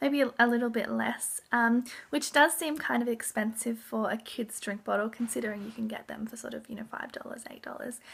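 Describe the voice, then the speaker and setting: Speech at a moderate pace with an Australian accent. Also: woman. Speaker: parenting vlogger. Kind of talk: casual show-and-tell vlog. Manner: hesitant with many ums.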